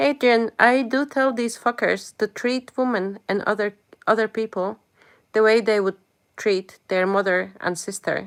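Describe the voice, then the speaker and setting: The recording is dry and close, with no echo. A woman speaks at a fairly high pitch with a non-native accent. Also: ordinary pitch variation, fairly slow pace, very clean recording, silent background. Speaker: live streamer. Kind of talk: live stream chat. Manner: animated.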